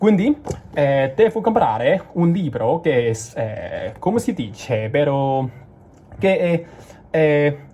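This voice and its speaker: Amid noticeable background noise, a man with a Cantonese accent speaks at a very slow pace with a fairly high pitch, very wide pitch swings and long, frequent pauses. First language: Cantonese (speaking Italian). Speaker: language learner vlogger. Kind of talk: casual vlog. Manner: halting, many fillers and restarts.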